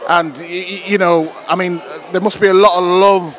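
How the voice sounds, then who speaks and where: A high-pitched man's voice, dry with no echo, over light background noise. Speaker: presenter. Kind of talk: interview questions and event commentary. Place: gym. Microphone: handheld.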